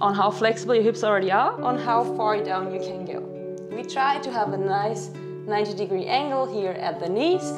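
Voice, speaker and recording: The speech keeps a moderate pace, with music clearly audible behind it. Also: woman. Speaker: fitness instructor. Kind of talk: tutorial. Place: home room.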